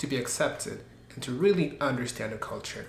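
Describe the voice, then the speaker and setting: Speaking with a French accent, a man has a fairly high pitch and ordinary pitch variation. The room echo is audible, and background noise is noticeable. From Belgium. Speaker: YouTuber, language learner. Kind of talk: personal vlog narration.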